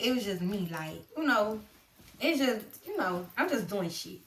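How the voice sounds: Here a woman's voice has a fairly bright tone. Audible room echo surrounds it.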